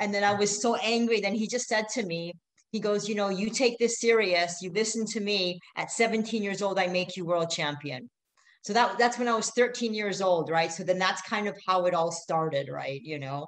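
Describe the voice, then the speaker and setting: A woman at medium pitch talks in an unremarkable speaking voice at a moderate pace, with ordinary pitch variation. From Middle East, born in Canada. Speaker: ultra-endurance racer. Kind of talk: interview.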